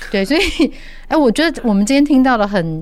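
Very wide pitch swings run through this woman's speech. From Taiwan. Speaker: podcast host. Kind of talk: interview.

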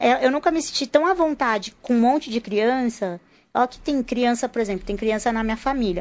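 In a very clean recording with a silent background, a woman talks at a high pitch with ordinary pitch variation. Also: moderate pace. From Rio de Janeiro, Brazil. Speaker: speech therapist. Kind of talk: casual chat.

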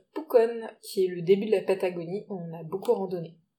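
A woman with a dark, mellow tone speaks at a medium pitch, her pitch moving in an ordinary way. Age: 30s. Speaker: travel podcast co-host. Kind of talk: casual chat.

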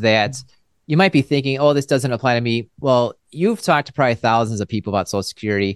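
In an ordinary speaking voice, a man talks at a fairly quick pace with medium pitch and ordinary pitch variation, recorded with a dry, close sound and no echo. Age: 40s. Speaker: financial podcast host, advisor. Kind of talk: interview.

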